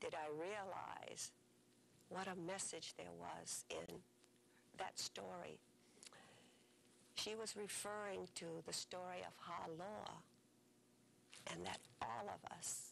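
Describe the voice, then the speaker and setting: Speaking with a Hawaiian accent, a woman talks at a very slow pace with long, frequent pauses. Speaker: storyteller. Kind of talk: storytelling.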